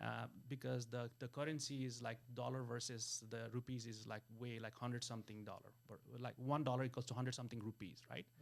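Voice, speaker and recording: A man in a Nepali accent, medium in pitch, monotone and flat, at a fairly quick pace. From Nepal, Kathmandu. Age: 40s. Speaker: wealth business coach. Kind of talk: interview conversation. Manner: halting, many fillers.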